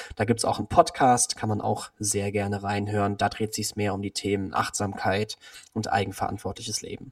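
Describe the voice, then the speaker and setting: Recorded dry and close with no echo, a man speaks at a moderate pace in a fairly low, somewhat breathy voice with fairly even intonation. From Cologne, Germany. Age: 20s. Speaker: nutrition scientist. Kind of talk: interview.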